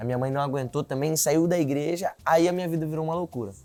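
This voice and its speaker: A man's dark, mellow voice at a very fast pace. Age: 20s. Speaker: political candidate. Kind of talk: interview.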